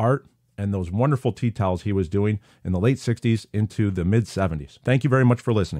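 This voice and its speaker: Recorded very cleanly against a silent background with a dry, close sound and no echo, a man speaks at a fairly quick pace in a dark, mellow tone. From upstate New York. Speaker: podcast host. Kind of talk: casual podcast monologue.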